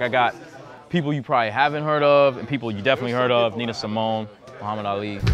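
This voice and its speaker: A man with an American accent, medium pitch and ordinary pitch variation, at a very fast pace over noticeable background noise. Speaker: comic book artist. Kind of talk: interview. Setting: comic book festival.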